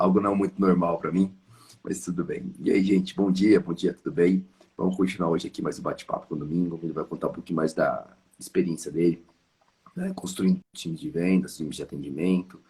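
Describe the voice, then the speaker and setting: In a very deep, low voice, a man talks at a fairly quick pace with ordinary pitch variation. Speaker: live stream host, sales consultant. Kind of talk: casual chat. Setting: live stream.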